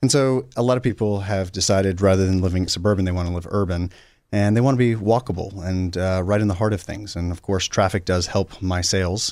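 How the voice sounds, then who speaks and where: Delivered at a very fast pace with fairly even intonation, the speech comes through in a very clean recording with a silent background. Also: man, very deep, low pitch for a man. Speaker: condo developer. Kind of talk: interview.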